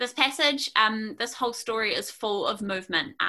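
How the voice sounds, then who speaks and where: A woman speaks with a New Zealand accent. Her tone is bright and sharp, with ordinary pitch variation. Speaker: preacher. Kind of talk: sermon. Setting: video call.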